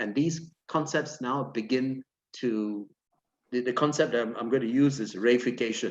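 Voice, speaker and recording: This man has an unremarkable speaking voice, a medium pitch and ordinary pitch variation, and he talks at a moderate pace. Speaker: academic panelist. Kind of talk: panel discussion.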